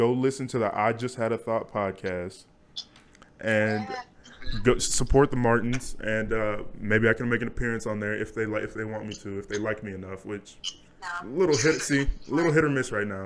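A man speaks at a medium pitch and moderate pace, his pitch varying in an ordinary way, with noticeable background noise behind him. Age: young. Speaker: podcast host. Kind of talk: casual chat. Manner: laughs often.

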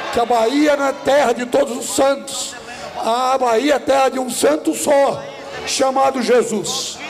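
A man's extremely high-pitched voice at a fairly slow pace, with ordinary pitch variation and noticeable background noise. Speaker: pastor. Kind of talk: preacher's pulpit exhortation. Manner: loud, emphatic, declaring.

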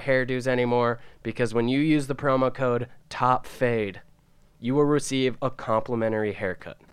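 An unremarkable speaking voice, this man talks at medium pitch with fairly even intonation. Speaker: podcast co-host. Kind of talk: casual banter podcast chat. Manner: joking, laid-back.

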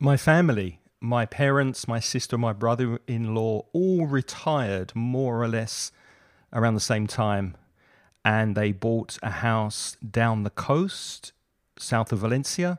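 At a very slow pace, a man with a southern English accent speaks at medium pitch with ordinary pitch variation, the sound dry and close with no echo. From southern England. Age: 50s. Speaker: English teacher and podcaster. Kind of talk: casual chat. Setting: video call.

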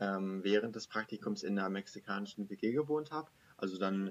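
Moderate-paced male speech, fairly low in pitch, with ordinary pitch variation. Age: 20s. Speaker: master's student. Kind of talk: interview. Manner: hesitant, many fillers.

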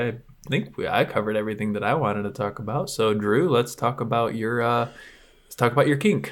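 This man has an unremarkable speaking voice at medium pitch, talking at a fairly quick pace with ordinary pitch variation. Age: 20s. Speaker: movie podcast co-host. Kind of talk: casual chat.

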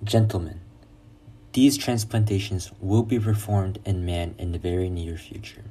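Fairly low in pitch, this man's dark, mellow, somewhat breathy voice keeps a moderate pace and fairly even intonation while its loudness swings widely. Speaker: reader of quoted memoir and lecture. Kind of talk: reading aloud quotations.

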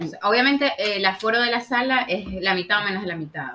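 This woman talks fairly quickly at a medium pitch, her intonation lively. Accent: Maracaibo. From Venezuela, Maracaibo. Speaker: podcast guest. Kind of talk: casual chat.

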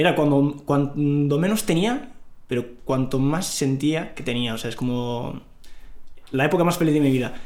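A man talks at a moderate pace with a fairly high pitch and ordinary pitch variation. Background noise is noticeable. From northern Morocco, rural area near Larache. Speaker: finance professional, interview guest. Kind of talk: casual interview.

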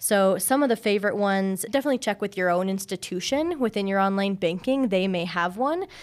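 A woman speaks at a fairly quick pace with hardly any pauses, in a plain, everyday voice at medium pitch with ordinary pitch variation, on a very clean recording with a silent background. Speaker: credit union community manager. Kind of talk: casual chat.

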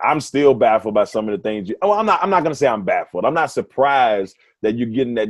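Using a plain, everyday voice, a man talks at a fairly quick pace and medium pitch with lively intonation over a quiet background. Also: dry, close sound with no echo. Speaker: sports radio host. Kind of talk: casual interview chat.

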